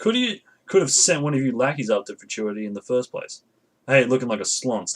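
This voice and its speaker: Putting on a gruff, growling character voice, a man talks at a fairly quick pace and medium pitch. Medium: read story. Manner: gruff, snappish.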